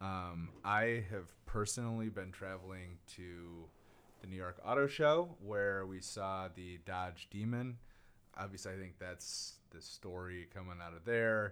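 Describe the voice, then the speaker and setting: A man's very deep, low voice, fairly slow, with fairly even intonation and big swings in loudness. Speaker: magazine editor and podcast host. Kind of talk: casual chat.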